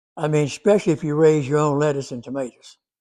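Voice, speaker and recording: A man speaks with a Southern US accent. His pitch is fairly high, and his tone is dark and mellow. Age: 80s+. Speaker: gardening video creator. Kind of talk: casual Q&A advice talk. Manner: halting.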